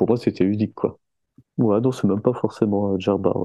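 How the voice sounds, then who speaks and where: A man speaks with an unremarkable speaking voice at a fairly low pitch. His pitch varies in an ordinary way. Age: 30s. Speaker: skateboarder. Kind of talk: casual chat.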